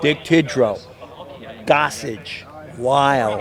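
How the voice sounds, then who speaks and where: Against noticeable background noise, a man speaks in a fairly high pitch with an American accent. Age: 60s. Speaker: baseball fan. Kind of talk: interview. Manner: animated.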